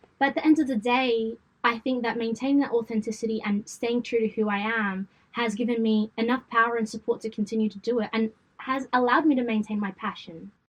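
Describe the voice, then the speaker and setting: Talking at a very fast pace, a woman keeps fairly even intonation at a fairly high pitch. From Australia, western Sydney. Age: 20s. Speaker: events company founder. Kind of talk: podcast interview. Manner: casual.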